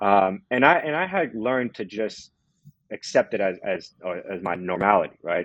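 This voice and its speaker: With lively intonation, a man speaks at a moderate pace in a fairly low pitch. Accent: Californian. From Southern California, Los Angeles. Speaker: prison reform advocate. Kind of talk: personal testimony in podcast interview. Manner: halting, many fillers and repetitions.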